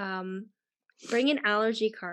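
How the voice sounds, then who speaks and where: A woman with a Canadian accent uses a normal speaking voice at medium pitch and fairly even intonation. The background is quiet. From Canada. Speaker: online magazine founder and podcast host. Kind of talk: casual interview.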